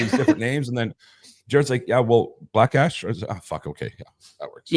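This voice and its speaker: Rushing at a very fast pace, a man's loudness swings widely in a dry, close sound with no echo. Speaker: podcast co-host. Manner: casual, conversational.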